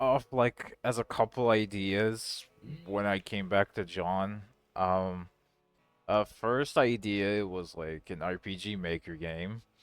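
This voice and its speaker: Against music in the background, a man speaks at a very slow pace and fairly low pitch with ordinary pitch variation, the sound dry and close with no echo. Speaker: game programmer and co-director. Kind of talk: casual developer commentary.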